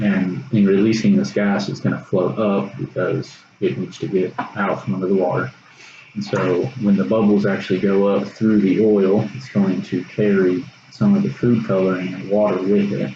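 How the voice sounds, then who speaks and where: Over noticeable background noise, a man with a Texas accent speaks at a moderate pace in a fairly low pitch with ordinary pitch variation. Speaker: college student. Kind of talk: science demonstration video. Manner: casual, hesitant with fillers.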